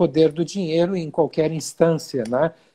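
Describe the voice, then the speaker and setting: In a dark, mellow tone, a man with a fairly high pitch speaks at a moderate pace with fairly even intonation. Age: 60s. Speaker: physician. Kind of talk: interview. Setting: video call. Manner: halting.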